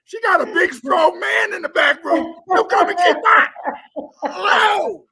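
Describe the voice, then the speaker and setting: Shouting at an extremely high pitch, a man speaks fairly slowly with lively intonation. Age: 70s. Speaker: researcher and author. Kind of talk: live stream interview.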